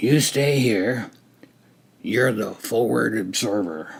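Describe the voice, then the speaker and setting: A man puts on a raspy character voice at medium pitch. He speaks at a very slow pace with ordinary pitch variation. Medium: read story. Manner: terse, matter-of-fact.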